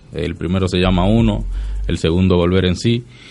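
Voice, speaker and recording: This man's pitch is very deep and low. He talks at a fairly slow pace. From Dominican Republic. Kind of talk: radio interview.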